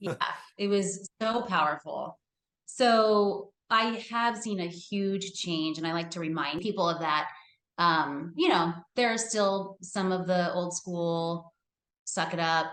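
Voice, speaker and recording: A woman speaks at a very slow pace with an American accent. Her pitch is medium, with ordinary variation. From California. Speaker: therapist. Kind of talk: casual interview chat.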